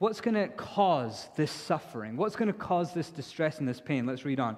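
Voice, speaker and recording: A man speaks at a moderate pace in an animated tone, his pitch swinging very widely. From India. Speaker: pastor. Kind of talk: sermon. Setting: church with congregation.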